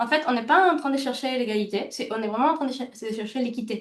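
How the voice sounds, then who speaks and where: Here a woman speaks at a high pitch. Her pitch varies in an ordinary way. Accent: slight non-native. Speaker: healthcare value trainer and consultant. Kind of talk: webinar presentation. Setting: online webinar. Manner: fast; halting, many fillers.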